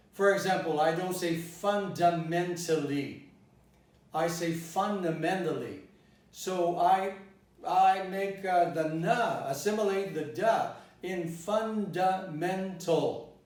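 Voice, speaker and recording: Through noticeable background noise and audible room echo, a man with a General American accent speaks in a high pitch at a very slow pace, his intonation fairly even. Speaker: English pronunciation teacher. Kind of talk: lecture. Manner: deliberate, demonstrating pronunciation.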